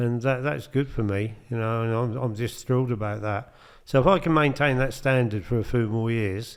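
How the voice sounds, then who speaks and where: Using an ordinary speaking voice, a man talks at a moderate pace and medium pitch with ordinary pitch variation. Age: 60s. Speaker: amateur darts player and charity fundraiser. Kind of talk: casual chat.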